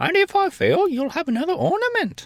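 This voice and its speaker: This is a put-on character voice with an extremely high pitch. It moves at a fairly quick pace. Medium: read story. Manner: indignant, pert.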